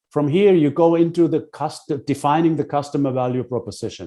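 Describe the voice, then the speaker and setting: With a dark, mellow tone and vocal fry, a man talks at a moderate pace with lively intonation against a quiet background. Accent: German. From Germany. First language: German. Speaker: business consultant. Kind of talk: lecture. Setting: webinar. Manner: halting, with many fillers.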